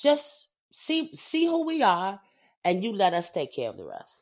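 In a New York accent, a woman speaks in an animated tone with very wide pitch swings. The recording is very clean, with a silent background. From Brooklyn, New York. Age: 50s. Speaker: singer and actress. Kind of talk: interview. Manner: animated, frequent laughter.

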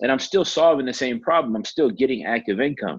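An ordinary speaking voice from a man, medium in pitch, at a fairly quick pace with ordinary pitch variation. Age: 30s. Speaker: real estate investor. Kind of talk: interview. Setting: call.

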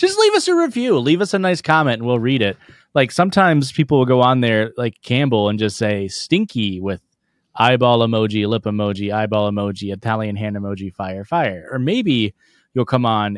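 In an American accent and a normal speaking voice, the speaker talks at a moderate pace with lively intonation, the sound dry and close with no echo on a very clean recording with a silent background. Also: man. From rural US. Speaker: comedy podcast co-host. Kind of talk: casual chat.

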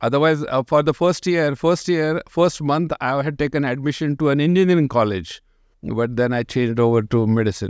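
In an Indian accent, a man with a fairly high voice talks at a fairly quick pace, with ordinary pitch variation and a quiet background. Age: 70s. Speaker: urologic surgeon. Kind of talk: interview. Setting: video call.

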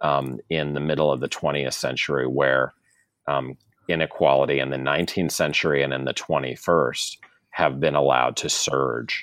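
A man talks in a very deep, low pitch with vocal fry and monotone, flat intonation. The recording is very clean with a silent background. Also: moderate pace. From US Midwest, St. Louis, Missouri. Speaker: law and history professor, author. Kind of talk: interview about his book. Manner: halting, many fillers and repeated words.

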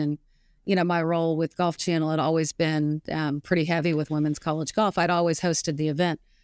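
A woman with an American accent speaks fairly quickly in a very deep, low, monotone voice, captured dry and close with no echo on a very clean recording with a silent background. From Arkansas, US South. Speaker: golf analyst and author. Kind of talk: interview.

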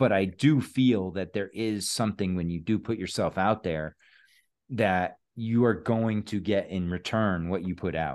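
The background is quiet. Delivery is fairly slow, with ordinary pitch variation. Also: man, fairly low pitch for a man. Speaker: podcast host. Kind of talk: casual chat.

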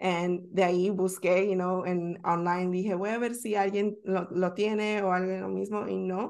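The pace is fairly slow, with hardly any pauses. The intonation stays monotone and flat. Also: woman, medium pitch for a woman. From Northern Virginia, US (Bolivian-born). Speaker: travel content creator. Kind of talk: casual interview.

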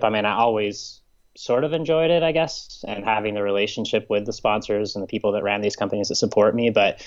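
A man with an American accent and a plain, everyday voice, fairly low in pitch, with ordinary pitch variation and a fairly quick pace. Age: 30s. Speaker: professional triathlete. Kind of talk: interview.

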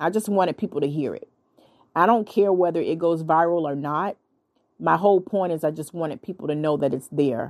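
A woman with an ordinary speaking voice talks at a fairly quick pace and fairly low pitch, with ordinary pitch variation, against a quiet background. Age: 30s. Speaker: podcast host. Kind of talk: casual monologue.

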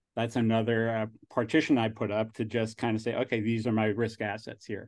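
A voice with a New York accent against a quiet background. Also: man. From New Jersey / New York, US Northeast. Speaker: angel investor and alumnus. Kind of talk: casual interview conversation. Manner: rambling, halting, laughs often.

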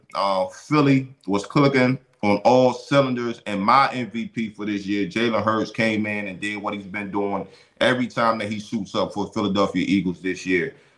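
A man with an ordinary speaking voice talks at a moderate pace, his pitch fairly low and his intonation fairly even. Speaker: podcast host and former football player. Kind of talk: casual sports talk podcast. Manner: casual, conversational, uses 'man' a lot.

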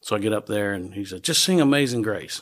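A man with a Southern US accent and a fairly low pitch at a moderate pace, on a very clean recording with a silent background. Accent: US South. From Nashville, Tennessee. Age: 60s. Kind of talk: casual chat.

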